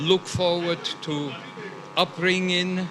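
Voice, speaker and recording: Over noticeable background noise, a man with a high-pitched voice talks at a fairly slow pace. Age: 70s. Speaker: guest at pageant. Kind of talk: red carpet interview. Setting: red carpet at live event.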